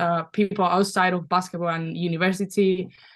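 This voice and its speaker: Over a quiet background, a woman with a Spanish accent speaks at a moderate pace in a fairly low pitch and monotone, flat intonation. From Spain, Valencia. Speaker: basketball player. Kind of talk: podcast interview.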